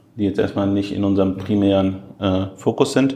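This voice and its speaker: Audible room echo surrounds a man speaking fairly quickly at a fairly low pitch. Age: 30s. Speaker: e-commerce executive. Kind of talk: interview. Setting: airport.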